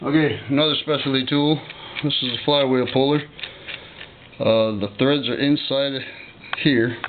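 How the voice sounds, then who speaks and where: Long, frequent pauses over noticeable background noise. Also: moderate pace. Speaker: hobby mechanic making a how-to video. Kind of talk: tutorial. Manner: casual.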